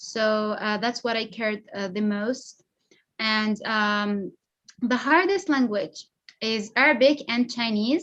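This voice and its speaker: Speaking with a Persian accent, a woman with a fairly high pitch talks very slowly, her pitch varying in an ordinary way. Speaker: polyglot social media creator. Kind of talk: interview. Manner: hesitant. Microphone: unstable connection.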